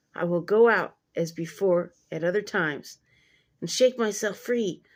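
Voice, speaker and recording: Using a put-on character voice, a woman speaks at a medium pitch with a raspy sound. Her pace is moderate and her pitch variation ordinary. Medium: read story.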